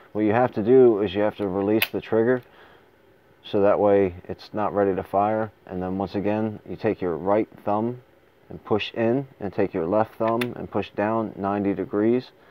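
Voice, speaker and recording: This man's pitch is fairly low, and his intonation is fairly even. He talks at a moderate pace. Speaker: firearms reviewer. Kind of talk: tutorial. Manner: halting.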